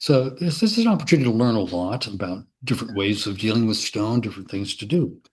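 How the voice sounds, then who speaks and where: Somewhat breathy, this man talks at a very fast pace. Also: medium pitch for a man, lively intonation, hardly any pauses. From US Midwest, Bloomington, Indiana. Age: 70s. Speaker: sculptor. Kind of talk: casual interview. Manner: energetic; halting.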